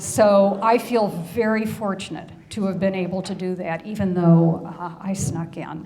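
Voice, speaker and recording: Over noticeable background noise, a woman talks at a fairly slow pace with hardly any pauses, her pitch medium and her intonation fairly even. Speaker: hiker giving a club presentation. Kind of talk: slide presentation to a club audience.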